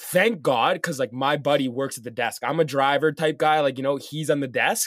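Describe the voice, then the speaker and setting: An unremarkable speaking voice from a man, fairly high in pitch with ordinary variation, at a moderate pace with hardly any pauses. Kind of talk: casual banter, profane story-telling between friends. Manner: rambling, filler-heavy, sweary.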